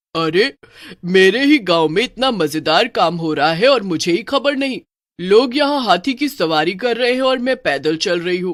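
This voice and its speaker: A put-on character voice at a middle pitch and moderate pace, cackling. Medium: cartoon. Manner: cackling, haughty.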